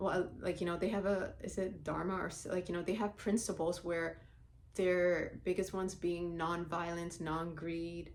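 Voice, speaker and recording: A woman with a Somali accent, fairly low in pitch, at a moderate pace. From Somalia. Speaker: vlogger. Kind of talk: personal monologue vlog. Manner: animated.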